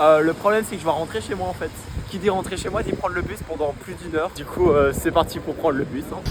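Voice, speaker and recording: Speaking very fast over noticeable background noise, a man uses a high pitch with ordinary pitch variation. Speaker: vlogger, language student. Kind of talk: casual vlog. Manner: loud.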